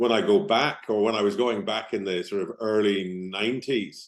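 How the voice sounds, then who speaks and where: In a slight Northern Irish accent, a man speaks at a moderate pace with a fairly low pitch. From Northern Ireland, Belfast. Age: 50s. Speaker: business founder and team coach. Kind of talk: podcast interview.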